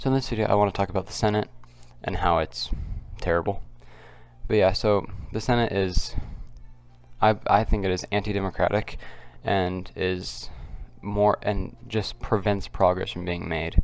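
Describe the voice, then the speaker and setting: Quiet, with music in the background, a man speaks at a fairly low pitch and a moderate pace, leaving long, frequent pauses. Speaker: political commentary youtuber. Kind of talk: casual vlog commentary. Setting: at home. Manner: halting.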